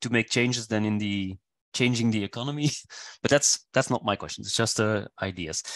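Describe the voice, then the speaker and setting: A man with a non-native accent talks at a fairly quick pace with ordinary pitch variation. The recording is dry and close with no echo, and the background is quiet. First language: not English. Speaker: seminar attendee asking questions. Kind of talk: audience question at seminar. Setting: online seminar video call. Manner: halting, many repetitions.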